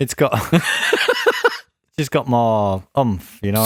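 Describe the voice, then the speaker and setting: A man is speaking. His pace is very slow, with a Yorkshire accent. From Yorkshire, England. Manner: casual, swears freely.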